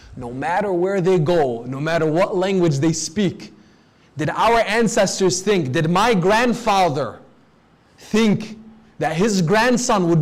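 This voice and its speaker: Amid audible room echo, a man with a high pitch speaks at a moderate pace with lively intonation. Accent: American. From US (Detroit), part of childhood in Lebanon. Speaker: Islamic preacher. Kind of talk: sermon. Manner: formal.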